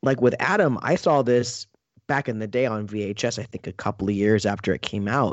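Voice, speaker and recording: Using an unremarkable speaking voice, a man talks at a medium pitch with ordinary pitch variation. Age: 30s. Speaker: film reviewer. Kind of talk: casual chat.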